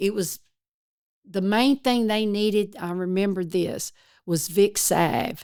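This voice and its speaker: A woman with an East Texas accent speaks at medium pitch with ordinary pitch variation. She leaves long, frequent pauses. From East Texas, rural. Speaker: retired forest service worker, disaster responder. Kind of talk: interview storytelling.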